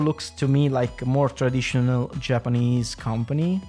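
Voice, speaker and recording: A man speaks with music playing in the background. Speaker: podcast host. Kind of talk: casual podcast talk about fighting games. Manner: rambling, hesitant.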